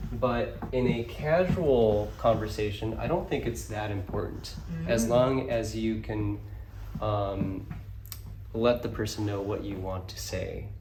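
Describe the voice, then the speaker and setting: Noticeable background noise surrounds a man who talks fairly slowly. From Kyoto, Japan. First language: English and Japanese. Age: 20s. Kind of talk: interview answer. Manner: casual, relaxed.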